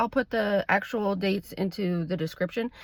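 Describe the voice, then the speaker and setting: A woman speaks in an ordinary speaking voice at a medium pitch. Her pace is moderate, with ordinary pitch variation. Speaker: licensed clinical social worker. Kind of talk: casual vlog talk to camera. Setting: in a car.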